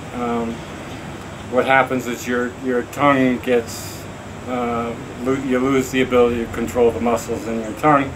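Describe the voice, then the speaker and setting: A man in a monotone, flat intonation, over noticeable background noise. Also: medium pitch for a man, moderate pace. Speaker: person with ALS, advocate. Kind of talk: personal video message. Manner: halting, many fillers and repeats.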